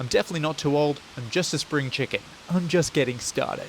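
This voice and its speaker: Over noticeable background noise, a man with an Australian accent speaks at a very fast pace, his pitch fairly high and his intonation lively. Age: 30s. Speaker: running vlogger. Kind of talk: vlog. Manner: animated.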